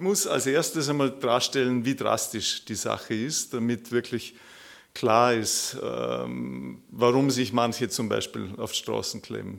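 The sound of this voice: There is vocal fry in this man's medium-pitched voice. He talks at a fairly slow pace with lively intonation.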